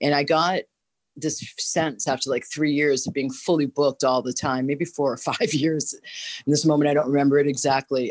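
A woman's very deep, low voice with a slight Boston accent, fairly even intonation and a moderate pace, dry and close with no echo over a quiet background. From Boston, US. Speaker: holistic health teacher. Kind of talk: casual interview. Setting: remote audio-only call.

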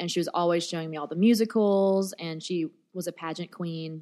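A woman with an American accent, a normal speaking voice of fairly low pitch, ordinary pitch variation and a moderate pace. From US South, Nashville. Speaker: rap cabaret artist. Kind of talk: casual interview. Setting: hotel interview room.

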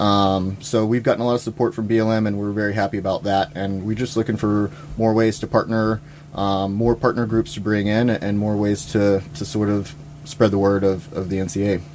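A man's fairly low voice at a moderate pace, fairly even in intonation, with noticeable background noise. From Louisiana. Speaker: wildlife biologist, nonprofit president. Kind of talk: interview. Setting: studio.

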